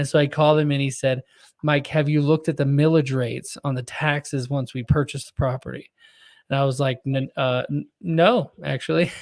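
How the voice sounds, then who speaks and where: With an American accent and an unremarkable speaking voice, a man talks at a fairly quick pace and a fairly high pitch with fairly even intonation, on a very clean recording with a silent background. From Texas. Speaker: podcast host. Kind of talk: casual interview conversation.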